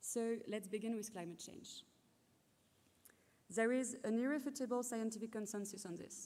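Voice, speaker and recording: At a moderate pace with long, frequent pauses, a woman with a French accent speaks at a fairly high pitch, her intonation fairly even and her tone dark and mellow. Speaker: PhD graduate. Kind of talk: ceremony speech.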